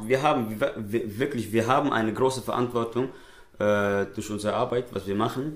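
Speaking at a moderate pace, a man with a medium pitch keeps his intonation fairly even. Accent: Somali. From Switzerland (raised there, born in Somalia). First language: Somali (speaking German). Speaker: nasheed artist and poet. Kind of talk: casual interview. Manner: hesitant, many fillers.

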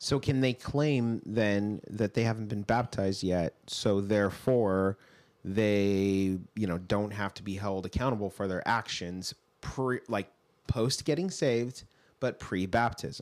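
A man talks with an unremarkable speaking voice, a fairly low pitch and ordinary pitch variation, at a fairly slow pace. The recording is very clean, with a silent background. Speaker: co-host and senior pastor. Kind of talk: casual teaching discussion.

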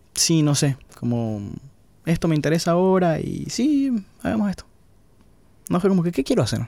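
Speaking at a moderate pace, a man with a high-pitched voice and a dark, mellow tone swings his pitch very widely, recorded very cleanly against a silent background. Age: 30s. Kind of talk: interview conversation.

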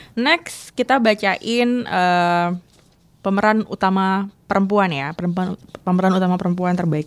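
A woman uses a normal speaking voice at a fairly slow pace, with a medium pitch and ordinary pitch variation, on a very clean recording with a silent background. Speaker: film podcast host and journalist. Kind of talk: casual chat.

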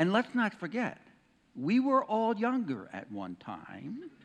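A man with very wide pitch swings against a quiet background. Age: 60s. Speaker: senior pastor. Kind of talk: sermon.

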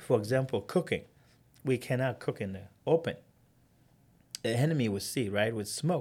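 A man's medium-pitched, somewhat breathy voice at a moderate pace, with ordinary pitch variation, long, frequent pauses, and a very clean recording over a silent background. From South Sudan. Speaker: refugee survivor. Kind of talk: interview testimony.

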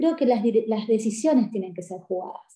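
Her voice is fairly high for a woman, with a dark, mellow tone and ordinary pitch variation. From Paraguay. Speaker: sports coach. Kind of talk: interview.

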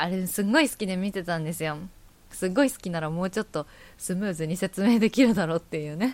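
On a very clean recording with a silent background, a woman speaks very fast with ordinary pitch variation. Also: medium pitch for a woman. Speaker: podcast host. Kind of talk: casual solo chat.

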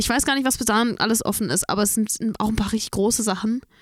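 This is a woman with a fairly high-pitched voice. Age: 20s. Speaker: singer. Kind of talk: casual chat.

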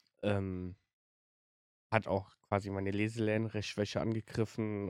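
Monotone and flat, a man's fairly low voice comes at a moderate pace, dry and close with no echo on a very clean recording with a silent background. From Germany, Siegburg. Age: 20s. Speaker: podcast host. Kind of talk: personal storytelling monologue. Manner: halting, many fillers.

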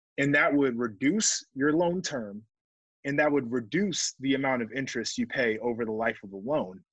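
Against a quiet background, a man with a plain, everyday voice speaks at a medium pitch and a moderate pace. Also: lively intonation. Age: 20s. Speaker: sports podcast host and former football player. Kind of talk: solo podcast monologue.

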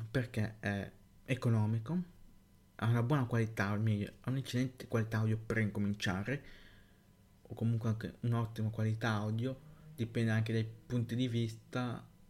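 Somewhat breathy and medium-pitched, a man speaks with monotone, flat intonation, very even loudness, and long, frequent pauses. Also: moderate pace. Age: young. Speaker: tech podcaster. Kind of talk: solo podcast monologue. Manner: halting.

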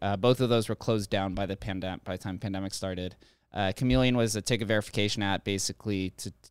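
Very fast and fairly even in intonation, a man speaks at a fairly low pitch on a very clean, silent-background recording with a dry, close sound and no echo. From Las Vegas, Nevada. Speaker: crypto consultant. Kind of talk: casual chat.

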